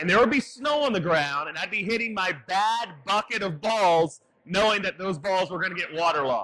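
Raised and projected, a man's high-pitched voice runs at a fairly quick pace with lively intonation and hardly any pauses. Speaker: baseball trainer. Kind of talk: tutorial.

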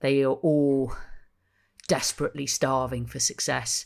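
Here a woman speaks at a moderate pace. The recording is very clean, with a silent background. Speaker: football journalist. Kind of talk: casual chat.

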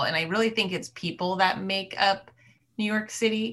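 A woman with a bright, sharp tone and vocal fry speaks at a moderate pace with fairly even intonation. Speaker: film producer. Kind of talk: moderated panel conversation. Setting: video call.

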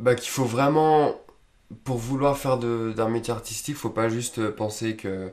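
Fairly even intonation shapes a man's speech, which proceeds at a fairly slow pace. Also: medium pitch for a man. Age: 20s. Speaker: film student. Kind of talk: casual interview. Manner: hesitant, many fillers.

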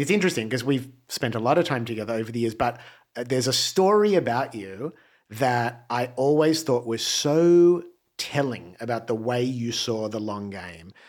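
In an Australian accent, a man speaks at a moderate pace and medium pitch with lively intonation. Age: 40s. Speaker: musician. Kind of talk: casual chat. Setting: studio.

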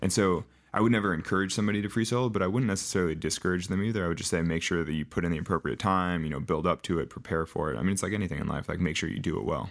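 This man talks very fast with hardly any pauses. His pitch is very deep and low, with ordinary variation. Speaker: professional rock climber. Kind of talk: interview.

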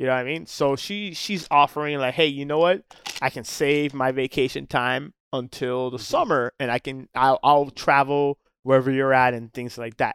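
In an ordinary speaking voice with an American accent, a man talks at medium pitch and a moderate pace with fairly even intonation. The recording is very clean and dry, close with no echo, over a silent background. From Miami, Florida. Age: 40s. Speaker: charter boat captain. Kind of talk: casual chat.

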